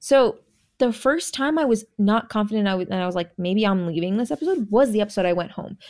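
Lively intonation and a very fast pace come through in a very clean recording with a silent background. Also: woman, medium pitch for a woman. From California, born in Jamaica. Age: 20s. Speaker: reality TV contestant. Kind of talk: casual chat. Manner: animated.

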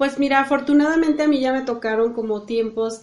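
A woman speaks with a Mexican accent. Her intonation stays fairly even. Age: 30s. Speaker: civil engineer. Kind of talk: interview. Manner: halting.

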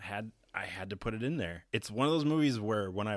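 An unremarkable speaking voice with lively intonation. The recording is very clean and the background silent. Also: man. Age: 30s. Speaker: podcast co-host. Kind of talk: casual chat.

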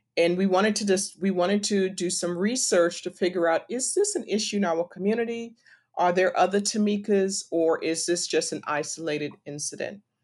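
At a fairly quick pace, a woman with an American accent uses a normal speaking voice, medium pitch, and ordinary pitch variation. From US, Washington D.C. (born Trinidad). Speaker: nonprofit co-founder, PR professional. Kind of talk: interview.

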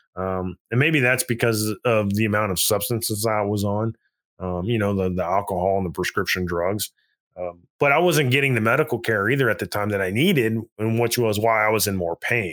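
A man with a plain, everyday voice talks at a fairly quick pace, his pitch fairly low with ordinary variation. The recording is very clean, the background silent. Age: 40s. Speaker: army veteran. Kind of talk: casual interview testimony.

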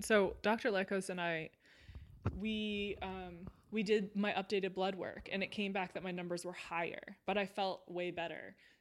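A woman speaks in a Californian accent with monotone, flat intonation. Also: medium pitch for a woman, moderate pace. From Southern California. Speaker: former athlete and sports reporter. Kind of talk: casual chat. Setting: at home.

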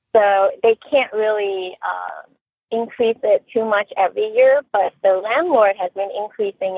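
A woman talks at medium pitch. Her intonation is fairly even. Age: 40s. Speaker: radio call-in caller. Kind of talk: casual advice call.

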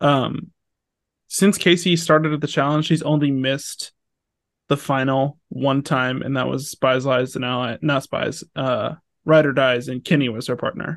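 Against a quiet background, a man with an ordinary speaking voice talks at a fairly slow pace, fairly high in pitch and with fairly even intonation. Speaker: podcast co-host. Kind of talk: casual chat.

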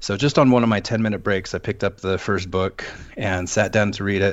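An unremarkable speaking voice from a man, fairly low-pitched and fairly quick. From US Pacific Northwest, Seattle. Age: 30s. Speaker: suicide attempt survivor, musician and wand carver. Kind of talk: interview, personal testimony.

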